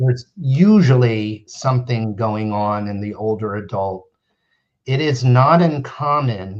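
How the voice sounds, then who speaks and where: An ordinary speaking voice, a man with an American accent talks at a fairly slow pace in a medium pitch with ordinary pitch variation. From US Northeast, central New Jersey. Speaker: neurologist. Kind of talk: interview. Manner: explanatory, measured.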